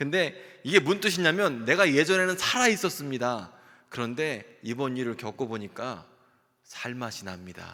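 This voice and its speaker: In a bright, sharp tone, a man talks with an animated delivery and lively intonation. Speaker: pastor. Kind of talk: sermon.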